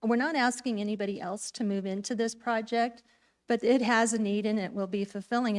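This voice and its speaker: In a very clean recording with a silent background, a woman with an unremarkable speaking voice talks at a moderate pace with fairly even intonation. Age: 60s. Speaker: public commenter at town council. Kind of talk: public comment speech.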